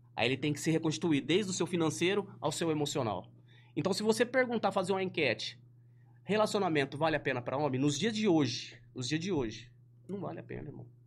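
This man talks at a very fast pace with lively intonation. His fairly high voice has vocal fry, and the recording is very clean with a silent background. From Ribeirão Preto, São Paulo state, Brazil. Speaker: online influencer. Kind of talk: casual interview chat. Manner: animated, slangy.

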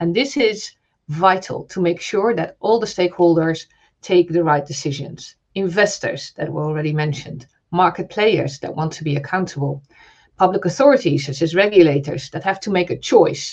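Using an ordinary speaking voice, a woman talks at a moderate pace in a fairly low pitch with lively intonation. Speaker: telecoms regulator representative. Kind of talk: panel discussion.

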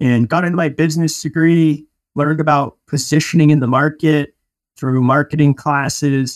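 Speaking with an American accent, a man has a plain, everyday voice at a fairly high pitch, with fairly even intonation, a moderate pace, and a dry, close sound without echo. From Denver, Colorado. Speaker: entrepreneur, painting company founder. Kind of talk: interview.

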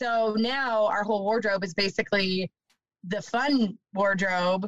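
A woman speaks in an unremarkable speaking voice at medium pitch. Her intonation is fairly even, and the sound is dry and close with no echo. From Ontario, Canada. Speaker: van life podcaster. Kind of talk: casual chat.

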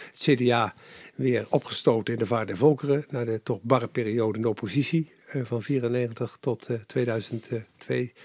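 In a very clean recording with a silent background and a dry, close sound with no echo, a man with a normal speaking voice speaks at a medium pitch, a fairly slow pace and fairly even intonation. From Netherlands, Capelle aan de IJssel (South Holland). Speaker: former journalist, politician and public affairs adviser. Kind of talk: interview. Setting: his study at home.

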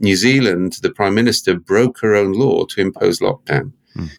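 A man's ordinary speaking voice, fairly low in pitch with ordinary pitch variation, at a fairly quick pace. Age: 60s. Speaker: consultant and author.

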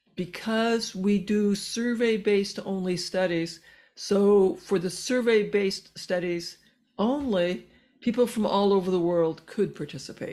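A woman's fairly slow, medium-pitched voice, dark and mellow in tone, with ordinary pitch variation. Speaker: physician and researcher. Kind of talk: interview. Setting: remote call.

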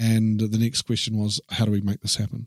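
Speaking very fast with a New Zealand accent, a man at medium pitch comes through on a very clean recording with a silent background. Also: dry, close sound with no echo. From New Zealand, Taranaki. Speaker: publisher and inspirational speaker. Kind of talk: casual interview.

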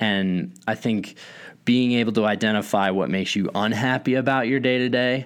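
A man with a fairly low pitch and ordinary pitch variation, a plain, everyday voice, on a very clean recording with a silent background. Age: 30s. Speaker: software startup founder and podcast co-host. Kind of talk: casual chat.

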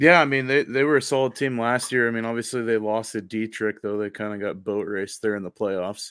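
A man with an unremarkable speaking voice and medium pitch talks at a fairly quick pace with hardly any pauses, in a very clean recording with a silent background. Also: ordinary pitch variation. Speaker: high school sports podcaster. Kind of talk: casual sports analysis chat. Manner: relaxed, joking.

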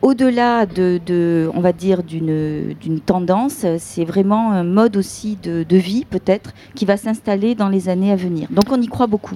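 A woman's voice at medium pitch with ordinary pitch variation, over noticeable background noise. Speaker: tourism association director. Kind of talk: live radio interview. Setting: outdoor festival.

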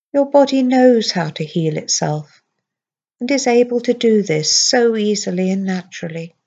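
A woman with a plain, everyday voice, fairly high in pitch, with lively intonation. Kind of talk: guided hypnosis script read aloud to a patient. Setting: recorded audio played to patient headphones in intensive care. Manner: slow, soothing, gentle, with long pauses; calm, steady, reassuring, soft-spoken.

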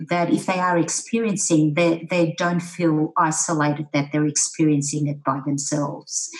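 A woman with an Australian accent speaks at a very deep, low pitch, her intonation fairly even and her speech hardly broken by pauses, over noticeable background noise. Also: moderate pace. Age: 60s. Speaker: general practitioner with lived experience of depression. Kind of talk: panel discussion.

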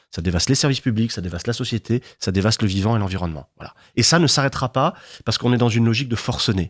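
In a very clean recording with a silent background and a dry, close sound free of echo, a man of medium pitch speaks very fast with lively intonation. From southern France, Martigues (Bouches-du-Rhône). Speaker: historian. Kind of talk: interview.

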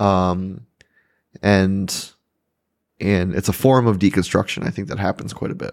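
A man speaks quietly at a fairly slow pace in a fairly low voice, with fairly even intonation and long, frequent pauses. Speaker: pastor and podcast co-host. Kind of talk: casual chat. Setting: studio with microphones and video. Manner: quiet, sits far from the mic; relaxed.

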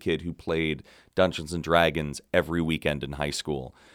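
A man talks at a moderate pace. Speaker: podcast co-host and theater professor. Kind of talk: casual chat.

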